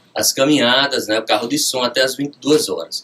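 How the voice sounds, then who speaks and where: A man is speaking. His pitch is medium. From Rio Grande do Norte, Brazil. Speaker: judge. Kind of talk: radio interview. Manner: formal.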